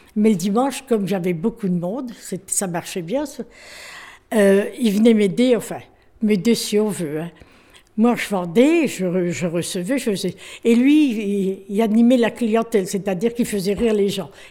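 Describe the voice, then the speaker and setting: Pausing often and at length, a woman talks at a fairly slow pace in a medium-pitched voice with a dark, mellow tone and ordinary pitch variation. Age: 80s+. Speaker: retired shopkeeper. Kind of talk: testimony. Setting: retirement residence.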